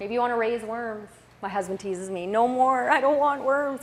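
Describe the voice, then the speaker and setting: Audible room echo surrounds a woman talking at a moderate pace, fairly high pitch and ordinary pitch variation. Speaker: conference presenter. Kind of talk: conference presentation.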